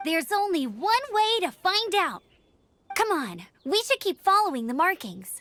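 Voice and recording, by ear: A woman puts on a character voice at an extremely high pitch, with big pitch swings, a fairly bright tone and a fairly slow pace, in a dry, close sound with no echo.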